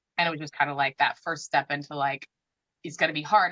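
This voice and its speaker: Loud and very fast, a woman speaks at a very deep, low pitch in a bright, sharp tone with monotone, flat intonation, and the sound is dry and close with no echo. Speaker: author. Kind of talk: casual chat.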